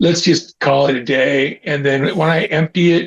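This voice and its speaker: With a Californian accent, this man speaks in a fairly high pitch and a fairly even intonation. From Northern California, Auburn near Sacramento. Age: 60s. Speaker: skateboarder and baseball fan. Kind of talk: casual chat. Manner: casual, halting with repetitions.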